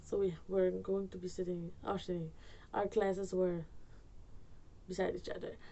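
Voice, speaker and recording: A woman speaks with a Surinamese accent. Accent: Surinamese Dutch accent in English. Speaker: YouTuber storyteller. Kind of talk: storytime vlog, casual. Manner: rambling, hesitant with fillers.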